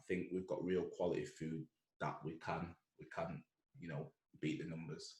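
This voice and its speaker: In a Mancunian accent, a man speaks at a moderate pace. Long, frequent pauses break up his speech. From Manchester, northern England. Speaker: entrepreneur. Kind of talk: casual chat.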